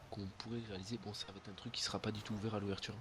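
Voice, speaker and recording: Medium in pitch, a man's voice holds fairly even intonation. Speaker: gaming youtuber. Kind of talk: casual gameplay chat. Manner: halting, self-correcting.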